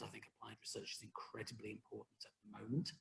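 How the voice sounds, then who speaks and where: A man speaking with a British accent. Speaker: university executive, professor. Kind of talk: guest talk in video call discussion. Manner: halting, many repetitions.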